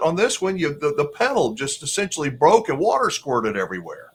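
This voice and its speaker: A man's fairly high voice at a fairly quick pace, with very wide pitch swings and vocal fry. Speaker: RV channel host interviewer. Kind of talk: interview host questions and commentary.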